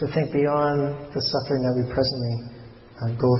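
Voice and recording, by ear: With fairly even intonation, the text is read aloud in a natural voice.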